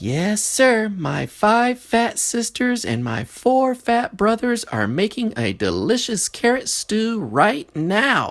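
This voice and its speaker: A put-on character voice, fairly high in pitch, is heard. It moves at a very slow pace. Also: hardly any pauses. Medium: read story. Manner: eager.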